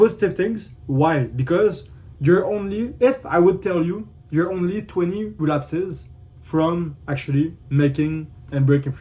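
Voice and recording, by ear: A man with a dark, mellow tone speaks at a fairly high pitch and a fairly slow pace, with ordinary pitch variation.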